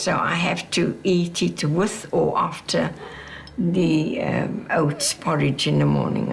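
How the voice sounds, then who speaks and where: A woman speaks at a very slow pace. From South Africa, Cape Town. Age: 80s+. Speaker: retired teacher and activist. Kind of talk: documentary interview. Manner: halting.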